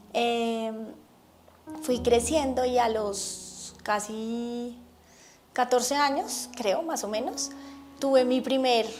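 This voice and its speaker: Her voice is fairly high-pitched, with fairly even intonation. Audible room echo surrounds the woman. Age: 40s. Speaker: religious testimony speaker. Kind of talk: testimony.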